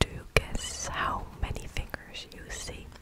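A woman speaks at a very slow pace over loud background noise, her voice dry with no echo. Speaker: ASMR creator. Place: home room. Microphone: studio mic.

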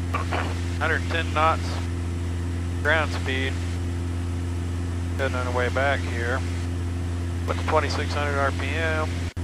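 Over loud background noise, a man talks at a very slow pace with long, frequent pauses, in a dry sound with no echo. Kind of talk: in-flight commentary. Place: plane. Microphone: headset.

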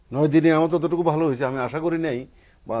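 The background stays quiet. Here a man's tone is dark and mellow. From Bangladesh. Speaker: patient, migrant worker. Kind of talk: patient testimony. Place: studio. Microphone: lapel.

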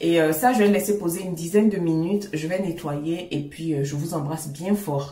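Speaking at a moderate pace with hardly any pauses, a woman with a fairly low pitch and ordinary pitch variation is heard in audible room echo. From Ivory Coast. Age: 30s. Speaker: skincare YouTuber. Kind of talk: casual talk to camera. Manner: warm, friendly.

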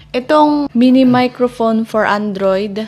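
The intonation is fairly even throughout. The voice is a woman's. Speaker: vlogger. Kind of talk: casual vlog chat, product review. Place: kitchen. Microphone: lapel.

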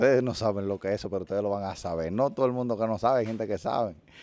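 In a dry sound with no echo, a man talks at a fairly low pitch with ordinary pitch variation. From Dominican Republic. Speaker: YouTuber. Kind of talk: casual interview. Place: street. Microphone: handheld.

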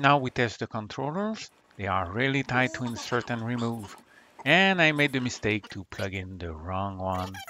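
With a non-native accent, a man speaks at a moderate pace in a medium pitch, his bright, sharp tone paired with lively intonation. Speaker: retro computer hobbyist. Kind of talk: hobby tech voice-over.

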